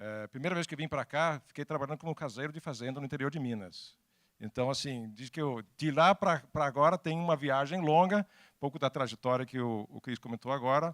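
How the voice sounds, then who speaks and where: A man with a Danish accent talks at a fairly quick pace, with a fairly high pitch and ordinary pitch variation. The recording is very clean, dry and close with no echo, and the background is silent. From Denmark. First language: Danish (speaking Portuguese). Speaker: technology executive and speaker. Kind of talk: talk to an audience. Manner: halting.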